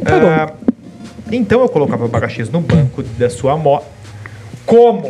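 Over music in the background, a man with a fairly high pitch talks at a moderate pace in an animated tone, his pitch swinging very widely between long, frequent pauses. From Santa Catarina, Brazil. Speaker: podcast host. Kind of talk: casual chat.

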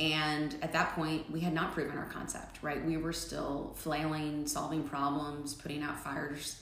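Over noticeable background noise and audible room echo, a woman with an American accent talks in a very deep, low, monotone voice at a moderate pace with hardly any pauses. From Nebraska, Omaha. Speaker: barbershop founder and entrepreneur. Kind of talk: interview.

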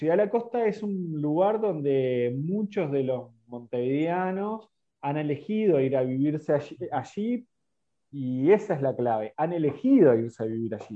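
A man with a fairly high pitch talks at a fairly slow pace, his pitch swinging very widely. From Uruguay, San José de Mayo. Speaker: local politician. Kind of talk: interview. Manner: hesitant, repeats words. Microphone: connectivity problems.

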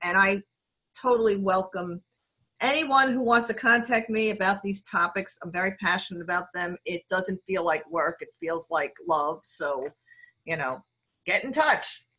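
With a New York accent, a woman speaks at a fairly slow pace in a bright, sharp tone. Her intonation is lively, and the sound is dry and close, with no echo. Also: medium pitch for a woman. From New York City. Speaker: lawyer and diversity executive. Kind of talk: casual interview chat.

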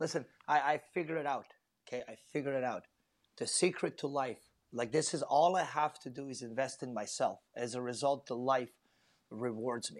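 This man's voice is fairly high in pitch with ordinary pitch variation. He speaks at a moderate pace. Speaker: professional MMA fighter. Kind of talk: casual chat. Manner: animated.

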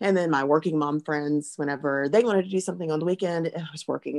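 Vocal fry with a Southern US accent, ordinary pitch variation and a dry, close sound with no echo. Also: woman. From US South (Alabama). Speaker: pharmacist and mother. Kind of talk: personal testimony in interview.

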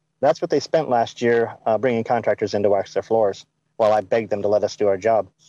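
A man at medium pitch with an American accent and a dark, mellow tone, very fast, with very even loudness, ordinary pitch variation, and a dry, close sound with no echo over a quiet background. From US South. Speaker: caller. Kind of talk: call-in debate.

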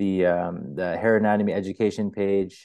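In a Toronto accent, a man speaks with a dark, mellow tone at a fairly low pitch. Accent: Canadian English, Toronto area. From Markham, Ontario, Canada. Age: 20s. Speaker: hair studio owner. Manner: casual, slangy, with filler words.

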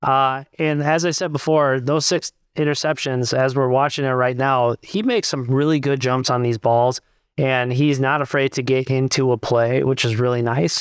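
A man speaks in an unremarkable speaking voice at medium pitch, moderate pace, with very even loudness and fairly even intonation. The background is quiet, and the sound is dry and close with no echo. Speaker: co-host, football podcaster. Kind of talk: casual banter, sports analysis.

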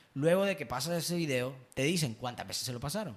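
Speaking at a fairly quick pace, a man's somewhat breathy voice swings very widely in pitch. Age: 20s. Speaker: podcast host, marketing consultant. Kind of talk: casual chat.

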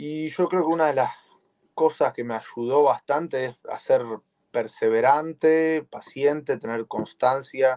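In a dry, close recording with no echo, a man with an ordinary speaking voice talks at a fairly slow pace, his pitch fairly high with ordinary variation and his loudness swinging widely. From Argentina, Buenos Aires. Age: 20s. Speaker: jiu-jitsu competitor. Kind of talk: interview.

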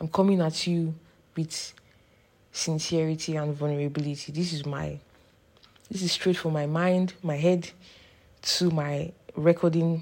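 A woman speaks with a very deep, low pitch and monotone, flat intonation. She leaves long, frequent pauses. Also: fairly slow pace. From Nigeria. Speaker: podcaster, student. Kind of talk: solo monologue. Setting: at home, portable microphone.

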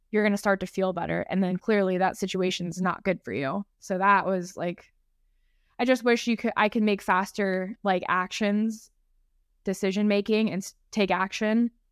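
A woman with an American accent speaks in a normal speaking voice at a moderate pace and medium pitch, with fairly even intonation, in a dry, close recording with no echo that is very clean against a silent background. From San Diego, California. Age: 30s. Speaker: health and fitness coach. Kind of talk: casual chat.

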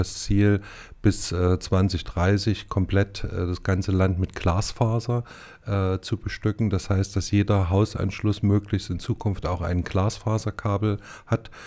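A man's fairly low voice, dark and mellow in tone, with fairly even intonation. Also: very clean recording, silent background. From Thuringia, Erfurt. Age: 50s. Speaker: head of a state digital agency. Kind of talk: interview. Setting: studio.

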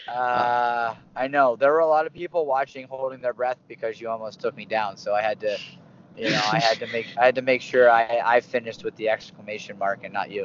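Talking at a fairly quick pace, a man has an unremarkable speaking voice pitched in the medium range. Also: fairly even intonation. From Pittsburgh, Pennsylvania. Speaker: wrestling coach. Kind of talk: casual interview.

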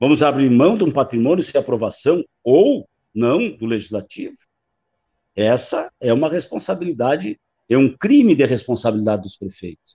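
At a moderate pace, a man with a dark, mellow tone and medium pitch makes very wide pitch swings. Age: 60s. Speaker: mayor and former state deputy. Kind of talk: panel debate.

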